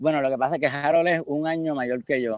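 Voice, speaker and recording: A man's voice comes through dry and close with no echo against a quiet background. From Puerto Rico, San Juan. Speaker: rock drummer. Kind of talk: interview. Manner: halting.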